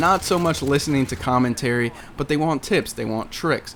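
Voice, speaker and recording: Noticeable background noise surrounds a man with a medium-pitched voice. He speaks at a moderate pace with fairly even intonation. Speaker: gaming commentator. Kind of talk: gameplay commentary. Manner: casual, halting.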